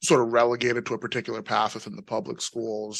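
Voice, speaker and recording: A man talks with a New York accent. The background is quiet. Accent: New York American. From New York, US (born in Nigeria, emigrated young). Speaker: panel guest, engineer turned professional. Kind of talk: panel discussion, personal story. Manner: many fillers (you know, um).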